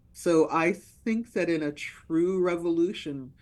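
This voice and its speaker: At a very slow pace, a woman talks. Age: 60s. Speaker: author. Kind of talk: interview. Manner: halting, many fillers.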